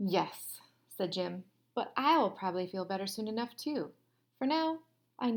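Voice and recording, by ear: This is reading aloud in a natural voice, with lively intonation throughout.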